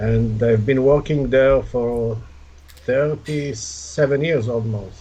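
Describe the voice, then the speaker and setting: A man at medium pitch, speaking at a very slow pace with lively intonation and audible room echo. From Israel. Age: 60s. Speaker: shooting sport regional director. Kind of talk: interview.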